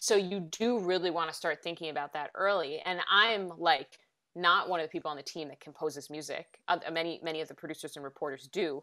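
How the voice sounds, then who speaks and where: A woman with an American accent and a bright, sharp tone talks at a fairly quick pace with hardly any pauses, her fairly low pitch showing ordinary variation and her loudness swinging widely, on a very clean recording with a silent background. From rural US. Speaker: podcast reporter. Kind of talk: interview on podcasting craft. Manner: many fillers and restarts.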